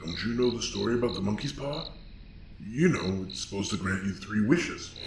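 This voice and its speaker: A man's put-on character voice at a fairly low pitch, over clear background noise. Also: fairly quick pace. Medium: audio drama. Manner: deadpan, ominous.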